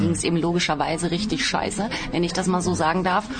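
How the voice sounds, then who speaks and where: A woman with a fairly low pitch talks at a very fast pace, with ordinary pitch variation. There is noticeable background noise. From Baden-Baden, southwest Germany. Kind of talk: interview. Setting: outdoors.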